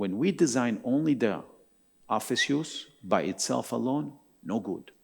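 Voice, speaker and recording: A man speaks with vocal fry and very wide pitch swings on a very clean recording with a silent background. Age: 60s. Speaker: architect. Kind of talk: keynote talk. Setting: stage with audience.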